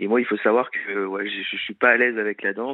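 The man's voice sits fairly low and stays monotone and flat. He keeps a moderate pace. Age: 20s. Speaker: TV adventure show presenter. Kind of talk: casual chat.

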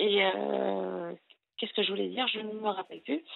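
A woman speaks at a moderate pace. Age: 40s. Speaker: caller. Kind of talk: call-in confession.

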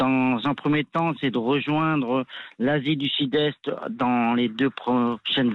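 A man speaks at a very slow pace, his loudness very even throughout. His voice sits at a medium pitch and rises and falls in an ordinary way. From France, Grenoble. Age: 50s. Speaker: adventure cyclist, former soldier. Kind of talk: radio interview. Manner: hesitant, many fillers.

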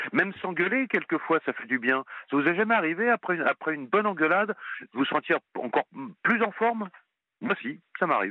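At a fairly quick pace, a man speaks with a high pitch and very wide pitch swings. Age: 40s. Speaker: caller. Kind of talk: phone-in call. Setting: phone call.

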